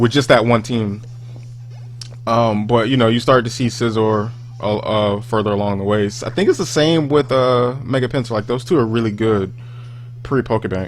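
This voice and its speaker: A man's moderately paced speech with fairly even intonation and noticeable background noise. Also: medium pitch for a man. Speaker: gaming YouTuber. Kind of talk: gameplay commentary. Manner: loud; rambling, halting with fillers.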